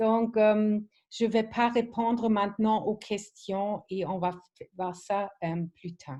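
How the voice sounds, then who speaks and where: Speaking at a very slow pace, a woman with a fairly high pitch and a dark, mellow tone keeps her intonation fairly even. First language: not French (speaking French). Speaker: wellness product trainer. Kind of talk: online training presentation. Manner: halting, many fillers.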